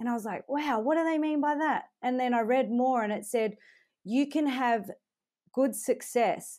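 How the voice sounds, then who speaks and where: Speaking at a moderate pace in an Australian accent, a woman has a high, dark and mellow voice with ordinary pitch variation, on a very clean recording with a silent background. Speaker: country music singer. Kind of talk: interview.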